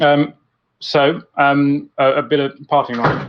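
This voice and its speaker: A man speaks with a British accent. His pitch is fairly high. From UK. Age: 30s. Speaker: home cook guest. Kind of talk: casual chat. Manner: halting, many fillers.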